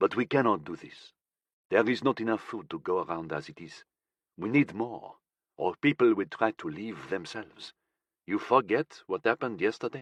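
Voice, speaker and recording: A man puts on a character voice at medium pitch, soft-spoken and strained, with lively intonation and big swings in loudness. The sound is dry and close with no echo, the background is quiet, and the pace is moderate. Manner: steely, firm, restrained anger.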